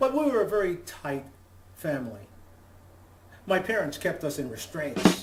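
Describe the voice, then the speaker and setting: With music in the background, a man at high pitch talks at a moderate pace, making very wide pitch swings and long, frequent pauses. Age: 60s. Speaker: comedian. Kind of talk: stand-up.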